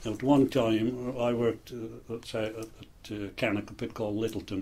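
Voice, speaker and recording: The speaker has a West Midlands accent and a moderate pace. The intonation is monotone and flat. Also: man. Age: 60s. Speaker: retired coal miner. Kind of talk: interview. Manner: halting, with frequent fillers.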